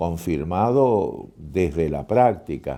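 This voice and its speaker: A man speaks with a dark, mellow tone at a very slow pace. His pitch swings very widely. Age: 70s. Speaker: poet and writer on madness. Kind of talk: interview.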